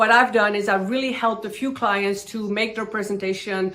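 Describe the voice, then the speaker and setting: This woman has a non-native accent. She talks at a fairly high pitch. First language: not English. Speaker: online business YouTuber. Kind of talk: tutorial.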